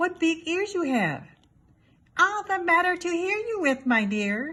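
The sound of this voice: A put-on character voice, female-sounding, at an extremely high pitch and a fairly slow pace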